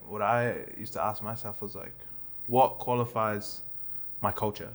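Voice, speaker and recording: A man with a New Zealand accent speaks at a moderate pace with a fairly low pitch and flat, monotone intonation. The recording is very clean, with a silent background. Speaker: comedian. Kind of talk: casual chat.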